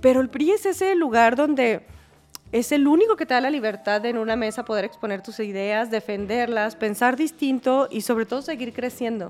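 Against noticeable background noise, a woman speaks at a moderate pace with a high pitch and ordinary pitch variation. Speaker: politician. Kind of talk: interview.

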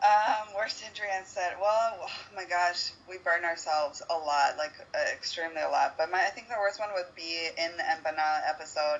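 Fairly quick speech from a woman with an American accent, fairly low in pitch with ordinary pitch variation, over noticeable background noise. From United States. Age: 20s. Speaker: chef and cooking show contestant. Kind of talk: casual interview chat.

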